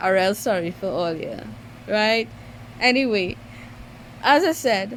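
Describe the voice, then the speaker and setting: Lively intonation in a Trinidadian accent. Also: woman. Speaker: mobile game YouTuber. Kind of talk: gaming tutorial. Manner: halting, with many fillers; careful, trying to speak clearly.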